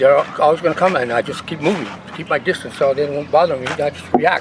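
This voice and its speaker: The speech comes at a very fast pace with big swings in loudness over noticeable background noise. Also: man, fairly high pitch for a man. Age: 60s. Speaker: martial arts master. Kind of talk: casual interview talk; demonstration. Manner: hesitant, repetitive.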